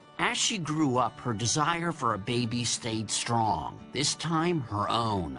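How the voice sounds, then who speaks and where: A man at medium pitch with very wide pitch swings, very even loudness, a very slow pace and hardly any pauses, over music in the background. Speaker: TV host. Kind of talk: narration and interview questions.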